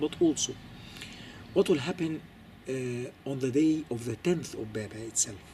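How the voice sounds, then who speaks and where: At a fairly slow pace, a man talks with a non-native accent. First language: not English. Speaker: Coptic Orthodox commentator. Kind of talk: lecture. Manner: halting, many fillers and repetitions.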